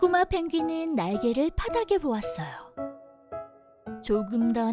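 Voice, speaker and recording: Against background music, a woman speaks very slowly in a gentle tone, her pitch swinging very widely. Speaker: voice actor. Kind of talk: children's story reading. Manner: gentle, storytelling.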